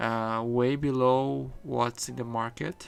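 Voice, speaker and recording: A man speaks at a medium pitch with a non-native accent. His intonation is monotone and flat. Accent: non-native English speaker. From Brazil. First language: Portuguese. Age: 20s. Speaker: vlogger. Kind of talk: casual vlog monologue. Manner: halting, many fillers and restarts.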